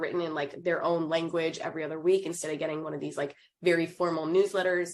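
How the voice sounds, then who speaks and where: At a fairly quick pace, a woman with an American accent speaks in a fairly low pitch with monotone, flat intonation. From New York. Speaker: university student life director. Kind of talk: informational presentation. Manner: fast.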